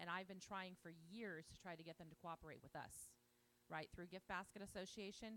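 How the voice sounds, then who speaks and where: Loud and animated, a woman talks at a fairly quick pace with a medium pitch and a bright, sharp tone. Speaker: conference organizer. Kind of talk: event introduction.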